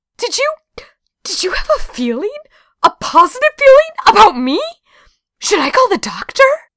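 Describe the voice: Putting on a character voice, a woman speaks at a moderate pace with an extremely high pitch, a fairly bright tone and big pitch swings.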